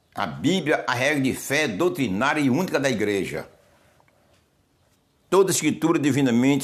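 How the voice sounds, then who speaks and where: A man's lively, fairly high-pitched speech at a moderate pace, with audible room echo. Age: 70s. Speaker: pastor. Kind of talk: sermon. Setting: solo video recording.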